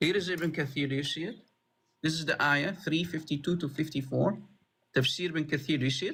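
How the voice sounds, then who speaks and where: A man with an Arabic accent, fairly high-pitched and bright, sharp in tone, at a fairly quick pace, on a very clean recording against a silent background. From Middle East. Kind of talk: heated debate. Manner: animated.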